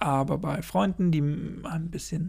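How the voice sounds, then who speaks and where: This man's voice is somewhat breathy. He uses ordinary pitch variation. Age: 20s. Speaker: podcaster. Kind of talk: solo podcast monologue. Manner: rambling, filler-heavy.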